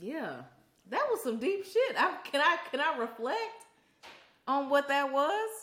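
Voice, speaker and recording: Against audible room echo, a woman with a high, bright and sharp voice speaks very slowly, with very wide pitch swings and long, frequent pauses. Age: 30s. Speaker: podcast co-host. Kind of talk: casual chat.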